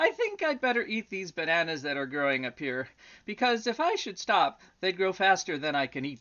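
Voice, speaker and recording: Using a put-on character voice, a woman speaks at a moderate pace with a medium pitch. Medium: read story. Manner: polite, good-humored.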